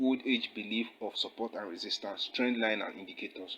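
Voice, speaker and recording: A man's voice at medium pitch with fairly even intonation. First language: not English. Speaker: forex trading teacher. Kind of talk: tutorial. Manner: casual, with fillers.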